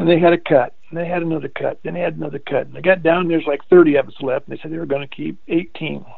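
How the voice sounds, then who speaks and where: With a Midwestern American accent, a man talks very fast in a fairly high voice, hardly pausing. His loudness swings widely while his intonation stays fairly even. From Indiana, US Midwest. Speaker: retired basketball coach and teacher. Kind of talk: casual interview, storytelling.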